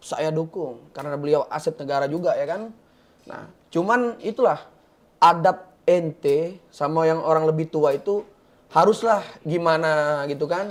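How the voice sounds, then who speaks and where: A man with a fairly high pitch speaks at a fairly slow pace with ordinary pitch variation. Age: 20s. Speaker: guest from a religious background. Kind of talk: talk show discussion.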